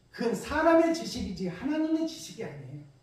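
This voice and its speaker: A man speaks with audible room echo. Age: 60s. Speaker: pastor. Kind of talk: sermon.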